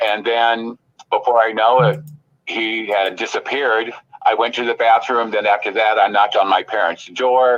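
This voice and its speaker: At a moderate pace, a man with an unremarkable speaking voice, medium pitch, and fairly even intonation talks in an American accent. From Illinois, US Midwest. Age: 60s. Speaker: psychic medium. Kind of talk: podcast interview.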